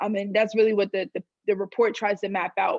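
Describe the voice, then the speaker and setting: The woman speaks. Her pace is fairly quick. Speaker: student activist panelist. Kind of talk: panel discussion. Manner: loud; halting, many fillers.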